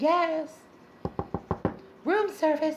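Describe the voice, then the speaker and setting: A squeaky, put-on character voice from a woman, extremely high in pitch, with ordinary pitch variation. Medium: solo performance. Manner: curt, brisk.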